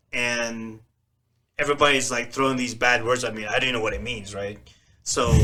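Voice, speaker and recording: A man with a Filipino accent speaks at a moderate pace in a bright, sharp, medium-pitched voice with flat, monotone intonation. He pauses long and often, and the room echoes audibly. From Philippines, moved to US at ten. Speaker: podcast co-host. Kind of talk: casual chat.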